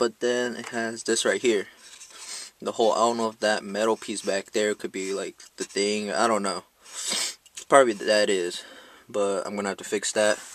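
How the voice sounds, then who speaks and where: This man talks at a moderate pace with fairly even intonation and a fairly low pitch, leaving long, frequent pauses. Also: dry sound with no echo. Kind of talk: casual vlog chat. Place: car. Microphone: phone near.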